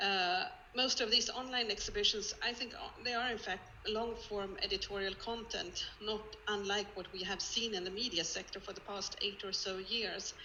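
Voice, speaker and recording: Noticeable background noise sits behind this woman's voice. She speaks with a Swedish accent and fairly even intonation. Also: fairly high pitch for a woman, moderate pace. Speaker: museum collections head. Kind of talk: online presentation. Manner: halting.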